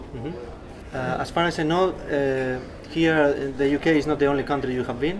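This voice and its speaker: A man's fairly high-pitched voice with fairly even intonation, over noticeable background noise. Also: fairly quick pace. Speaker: interviewer. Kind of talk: interview questions.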